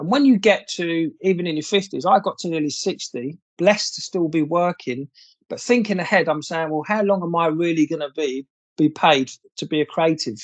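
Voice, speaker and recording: A man's high voice at a fairly quick pace, dry and close with no echo. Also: ordinary pitch variation. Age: 60s. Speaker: former advertising creative director. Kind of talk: casual interview chat.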